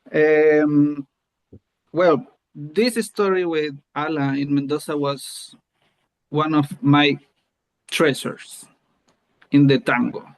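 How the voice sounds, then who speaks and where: The speaker, in a Chilean accent, goes at a very slow pace with long, frequent pauses. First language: Spanish. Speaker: tango teacher. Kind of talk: casual group conversation. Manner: halting.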